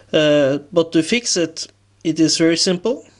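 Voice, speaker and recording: With a non-native accent, a man talks at a fairly slow pace with ordinary pitch variation. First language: non-native English speaker. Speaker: revolver hobbyist. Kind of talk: tutorial talk to camera.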